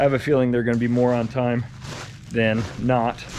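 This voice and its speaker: A man speaks at a moderate pace while light background noise sits behind him. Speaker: property owner vlogger. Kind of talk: casual vlog chat. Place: open country. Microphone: phone near.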